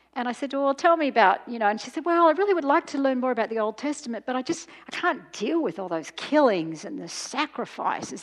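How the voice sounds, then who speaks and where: A very fast-talking woman with an Australian accent and very wide pitch swings. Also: quiet background. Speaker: professor and speaker. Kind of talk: lecture. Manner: intense.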